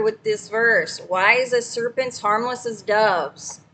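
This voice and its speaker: This woman talks loudly at a high pitch. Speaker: livestreamer sharing scripture. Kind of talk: casual livestream talk with scripture reading.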